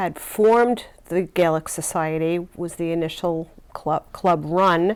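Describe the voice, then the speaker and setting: A woman speaks with an American accent in a plain, everyday voice. Her pitch sits fairly low, with ordinary variation. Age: 60s. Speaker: nurse. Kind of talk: interview answers.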